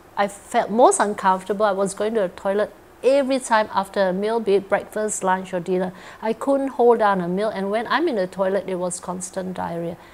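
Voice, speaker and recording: Ordinary pitch variation at a fairly quick pace, with noticeable background noise. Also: woman, medium pitch for a woman. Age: 60s. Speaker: cancer survivor. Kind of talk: interview testimony. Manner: hesitant, with fillers.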